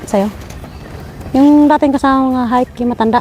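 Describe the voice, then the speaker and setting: Noticeable background noise beneath a monotone, flat delivery. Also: woman. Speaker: vlogger. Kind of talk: casual chat. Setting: outdoors. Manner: loud.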